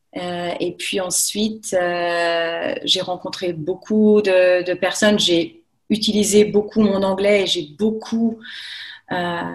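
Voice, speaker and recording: At a very slow pace, a woman talks with fairly even intonation and a medium pitch. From France, Haute-Savoie near Thonon-les-Bains. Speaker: French teacher. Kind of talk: casual interview. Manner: hesitant, many fillers.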